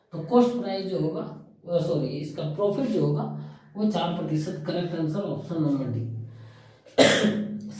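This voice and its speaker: Using a put-on character voice, a soft-spoken man talks at a moderate pace in a hoarse, high pitch, with audible echo. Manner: speaking slowly and softly.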